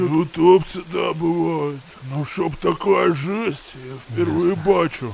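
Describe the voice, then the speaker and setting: A man speaks at a fairly high pitch. Clear background noise can be heard. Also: fairly slow pace, ordinary pitch variation. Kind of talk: folksy village talk. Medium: machinima. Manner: gruff, matter-of-fact, bossy.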